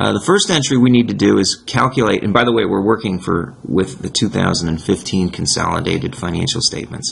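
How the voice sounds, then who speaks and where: Against noticeable background noise, a man talks at a fairly quick pace with hardly any pauses, using a fairly low pitch with ordinary variation. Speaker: accounting instructor. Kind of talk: tutorial. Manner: halting, self-correcting.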